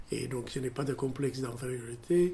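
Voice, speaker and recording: The man's voice is dark and mellow in tone and somewhat breathy. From Ethiopia. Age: 70s. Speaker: surgeon. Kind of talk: interview testimony. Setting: at his home. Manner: halting.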